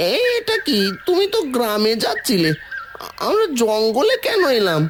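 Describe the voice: A cartoonish character voice from a man at a moderate pace, very even in loudness, over clear background noise.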